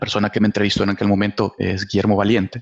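A man with a Salvadoran accent. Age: 30s. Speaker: business director. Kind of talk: interview, life story.

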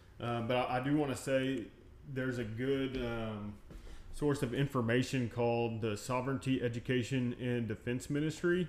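With a plain, everyday voice, a man speaks at a moderate pace and medium pitch, his intonation fairly even. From Texas. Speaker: energy medicine practitioner. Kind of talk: casual chat.

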